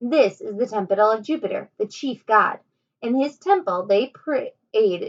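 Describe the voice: Plain reading aloud against a quiet background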